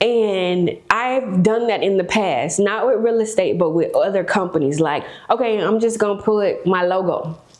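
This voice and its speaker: With an American accent and an animated tone, the speaker runs on with hardly any pauses, amid noticeable background noise and audible room echo. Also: woman, medium pitch for a woman, ordinary pitch variation, moderate pace. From South Florida, West Palm Beach. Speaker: real estate broker and developer. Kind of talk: podcast interview.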